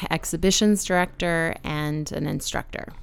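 Fairly even intonation from a woman, her pitch fairly low. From Texas, San Antonio. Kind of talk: casual interview conversation. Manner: halting, many fillers and repetitions.

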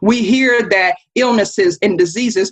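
A woman speaks in an animated tone with an American accent. Her voice is somewhat breathy. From North Carolina Appalachian Mountains. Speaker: climate and social justice advocate. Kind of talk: interview.

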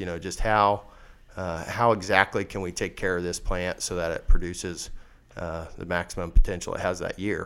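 A man with a Midwestern US accent and a very deep, low pitch speaks at a moderate pace in a monotone, flat intonation. The recording is very clean with a silent background. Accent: rural Midwestern American. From west central Kansas. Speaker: farmer and seed seller. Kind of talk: interview.

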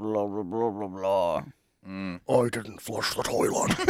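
A put-on character voice from a man, fairly low in pitch and at a fairly slow pace. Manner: creepy, menacing.

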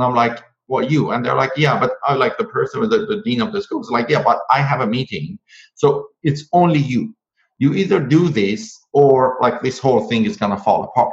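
An enthusiastic, somewhat breathy man's voice with a non-native accent, fairly high in pitch, with very wide pitch swings at a fairly quick pace. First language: not English. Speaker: author and public speaking coach. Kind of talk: casual interview.

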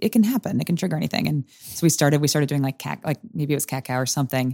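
A woman's very deep, low, dark and mellow voice with vocal fry at a very fast pace, ordinary pitch variation, and a dry, close sound with no echo. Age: 20s. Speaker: improv performer. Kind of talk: casual interview chat. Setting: studio.

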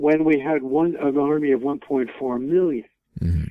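In an American accent, a man speaks at a fairly high pitch. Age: 80s+. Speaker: author and historian. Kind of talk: interview. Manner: halting.

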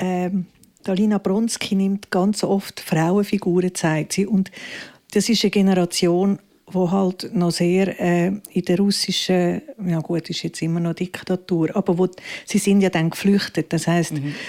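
A woman speaks in a dark, mellow tone. Her intonation stays monotone and flat. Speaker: theatre director and actress. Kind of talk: live interview. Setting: library stage with audience.

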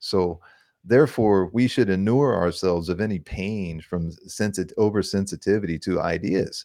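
Against a quiet background, a man with an unremarkable speaking voice talks at a moderate pace, his fairly low pitch showing ordinary pitch variation. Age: younger than 60. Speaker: podcast host. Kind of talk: casual interview chat. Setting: at home.

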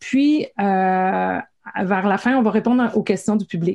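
A woman has an ordinary speaking voice at a medium pitch with ordinary pitch variation. She speaks at a fairly slow pace. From Quebec, Gaspésie. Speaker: science communicator. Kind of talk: interview.

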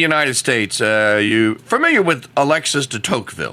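A man talks at a fairly quick pace. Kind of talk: casual chat.

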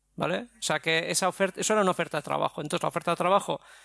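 A man's bright, sharp tone comes through with a dry, close sound with no echo on a very clean recording with a silent background. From Basque Country, Spain. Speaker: graphic designer and business owner. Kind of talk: interview.

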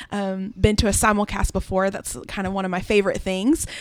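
A woman is speaking. Her pace is very fast. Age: 20s. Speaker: event coordinator. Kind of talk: casual chat.

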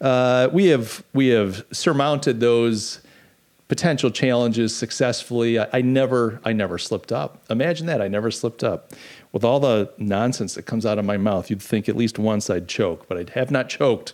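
A man at a medium pitch and moderate pace, ordinary pitch variation, an ordinary speaking voice. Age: 50s. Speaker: podcast host. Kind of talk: casual political chat livestream. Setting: live stream.

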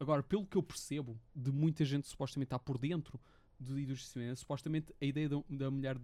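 Speaking very fast, a man uses a fairly high pitch and a dark, mellow tone, his delivery monotone and flat. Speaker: podcast host. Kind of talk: casual chat.

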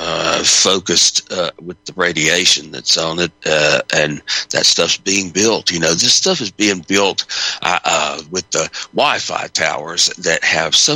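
A man talks at a fairly slow pace. The sound is dry and close with no echo, though noticeable background noise comes through. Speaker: radio host. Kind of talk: call-in talk radio show.

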